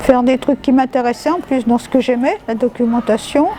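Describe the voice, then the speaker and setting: Noticeable background noise sits behind a woman with a high-pitched voice. She talks at a fairly quick pace with ordinary pitch variation. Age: 70s. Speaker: retired documentalist, volunteer. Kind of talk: interview answer.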